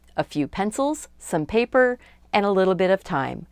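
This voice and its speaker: A woman's medium-pitched voice in a calm tone at a moderate pace, with music in the background. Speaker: art instructor. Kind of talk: drawing tutorial narration.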